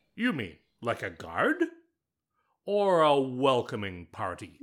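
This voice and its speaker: At a fairly slow pace and medium pitch, a man uses a put-on character voice in a very clean recording with a silent background. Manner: indignant, exasperated.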